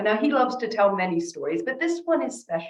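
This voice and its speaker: A woman is speaking. She has an American accent. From North America. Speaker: rabbi and speaker. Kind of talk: keynote talk with storytelling.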